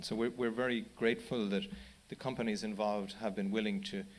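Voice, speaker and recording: Speaking very fast with an Irish accent, a man keeps his intonation fairly even at a fairly low pitch. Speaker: charity chief executive. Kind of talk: panel talk. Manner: halting, many repetitions.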